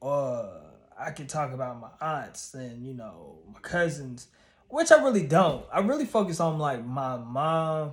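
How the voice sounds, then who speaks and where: With audible room echo, a man speaks at a fairly slow pace and fairly high pitch, his somewhat breathy voice showing big swings in loudness. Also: ordinary pitch variation. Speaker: YouTuber and stand-up comedian. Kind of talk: casual vlog monologue.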